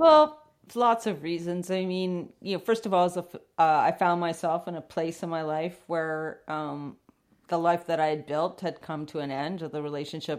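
A woman's plain, everyday voice with a Canadian accent, on a very clean recording with a silent background. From western Canada. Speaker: filmmaker and explorer. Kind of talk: interview.

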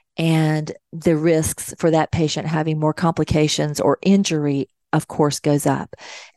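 The voice has a dark, mellow tone and moves at a fairly slow pace. The sound is dry and close with no echo, over a quiet background. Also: woman. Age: 50s. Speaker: nurse and talk radio host. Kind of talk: talk radio monologue.

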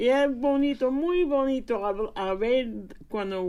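A woman's high pitch in a dark, mellow tone, at a very slow pace. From Indiana, US, of Puerto Rican parents. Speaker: preschool program family advocate. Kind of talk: radio interview. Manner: halting.

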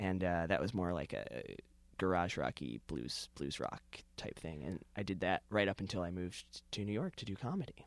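A man speaks at a moderate pace with lively intonation. His pitch is very deep and low, with vocal fry. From Connecticut, US. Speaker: comedian and writer. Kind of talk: casual interview chat. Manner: halting, many fillers and restarts.

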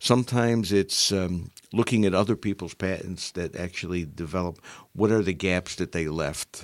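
A man's very deep, low voice with an American accent, at a moderate pace with ordinary pitch variation, in a very clean recording with a silent background. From Upstate New York (Utica). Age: 60s. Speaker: retired engineering executive. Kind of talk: interview. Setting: studio.

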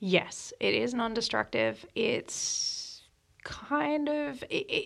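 On a very clean recording with a silent background, a woman talks in an Australian accent. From Sydney, Australia. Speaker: operations and projects director at a power company. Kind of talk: casual interview chat.

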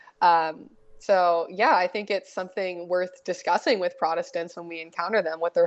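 Fairly even intonation and a moderate pace mark an ordinary speaking voice. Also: woman. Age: 20s. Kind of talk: interview.

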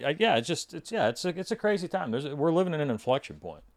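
A man talks at a very fast pace in a fairly high voice with vocal fry. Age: 50s. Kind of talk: casual chat.

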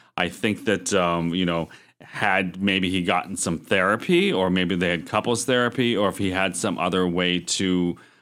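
A man with an American accent speaks at a moderate pace in a very deep, low voice with ordinary pitch variation, on a very clean recording with a silent background. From Erie, Pennsylvania. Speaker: podcast co-host. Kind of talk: casual chat.

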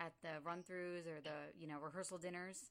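A woman with a normal speaking voice talks at a moderate pace. Her pitch is fairly low. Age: 30s. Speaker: podcast host. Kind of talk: casual interview.

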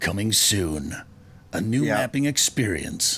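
Fairly slow delivery in a put-on character voice. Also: man, fairly low pitch for a man. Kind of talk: promotional announcer. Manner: dramatic, exaggerated, put-on.

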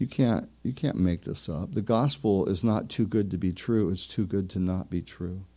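In a very clean recording with a silent background, a man talks at a moderate pace with hardly any pauses. His fairly low voice has a dark, mellow tone and ordinary pitch variation. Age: 40s. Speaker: pastor. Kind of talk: sermon.

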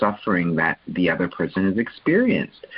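At a moderate pace, a man with a fairly low pitch and ordinary pitch variation speaks in a plain, everyday voice. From Canada. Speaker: relationship coach and author. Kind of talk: interview.

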